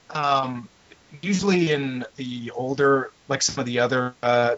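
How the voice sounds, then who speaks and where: A man talks at a medium pitch. Noticeable background noise runs underneath. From Canadian prairies, small town. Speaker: video blogger, film reviewer. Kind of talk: casual chat.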